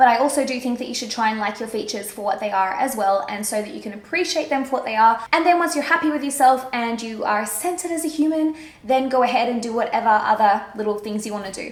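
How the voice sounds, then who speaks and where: Amid noticeable background noise and audible room echo, a woman talks very fast in a high voice, her tone animated and her intonation lively. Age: 20s. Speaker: beauty vlogger. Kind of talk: casual chat. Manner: chatty, animated.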